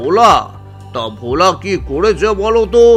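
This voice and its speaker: A man performs a cartoonish character voice, pitched high. Clear music plays in the background. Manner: smooth, sly.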